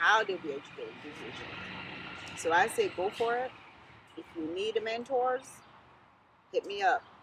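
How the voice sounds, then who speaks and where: With an American accent, a woman speaks in an animated tone at a fairly high pitch with very wide pitch swings, over noticeable background noise. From South Florida. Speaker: lawyer and political candidate. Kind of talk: interview.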